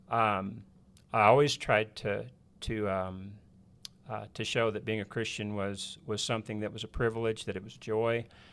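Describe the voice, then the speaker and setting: The speaker has a West Texas accent and a moderate pace. The intonation is monotone and flat. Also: man, fairly low pitch for a man. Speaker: preacher. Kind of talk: casual chat.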